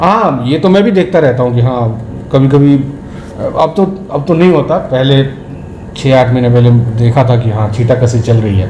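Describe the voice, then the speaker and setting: With a Bihari accent, a man talks at medium pitch with lively intonation and very even loudness, amid noticeable background noise and audible room echo. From Bihar, India. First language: Bhojpuri (speaking Hindi). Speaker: film actor. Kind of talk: interview.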